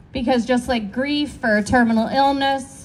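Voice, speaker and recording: A woman speaks loudly. Her pitch is high. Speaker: recovery worker and speaker in recovery. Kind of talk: speech at community event.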